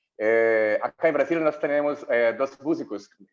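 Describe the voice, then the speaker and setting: A man speaks at a fairly slow pace with a Portuguese accent. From Brazil. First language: Portuguese (speaking Spanish). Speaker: health journalist. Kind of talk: conference talk. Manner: halting.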